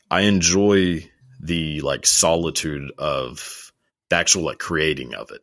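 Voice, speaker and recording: Talking with a Texan accent, a man uses a very deep, low pitch with ordinary pitch variation, a fairly slow pace and big swings in loudness. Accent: Texan American English. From Texas. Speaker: YouTuber. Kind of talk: casual chat.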